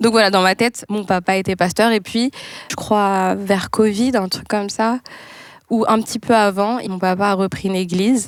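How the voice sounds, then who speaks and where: A normal speaking voice from a woman at medium pitch, moderate pace and fairly even intonation, in a very clean recording with a silent background. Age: 20s. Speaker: pastor's child. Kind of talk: casual chat.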